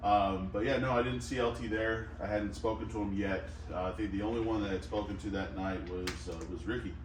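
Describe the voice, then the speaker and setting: A man with a fairly low pitch talks at a fairly quick pace, hardly pausing, over noticeable background noise. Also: ordinary pitch variation. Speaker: wrestler. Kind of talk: interview answer.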